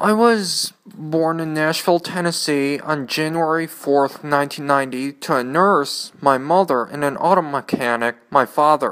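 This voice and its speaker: A man with an American accent talks at a fairly high pitch with ordinary pitch variation. His pace is fairly slow, with hardly any pauses. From Michigan. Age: 20s. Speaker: podcaster, community college student. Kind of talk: personal monologue.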